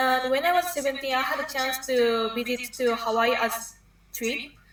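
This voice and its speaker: A woman with a Japanese accent speaks at a moderate pace in a high voice, her intonation fairly even, against noticeable background noise. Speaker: university student. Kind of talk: interview. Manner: halting.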